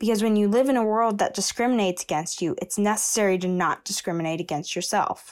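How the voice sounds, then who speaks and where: A woman's normal speaking voice at medium pitch and a fairly quick pace, ordinary pitch variation, in a very clean recording with a silent background. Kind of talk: personal story told aloud.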